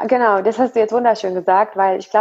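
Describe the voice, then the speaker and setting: A fairly high-pitched woman at a very fast pace. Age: 30s. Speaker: Ayurveda blogger and nutrition consultant. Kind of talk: personal interview testimony. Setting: video call. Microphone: poor audio quality.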